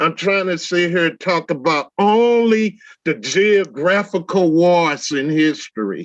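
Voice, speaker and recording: A man with a high pitch and ordinary pitch variation speaks at a fairly slow pace. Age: 60s. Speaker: debate panelist. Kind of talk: heated debate.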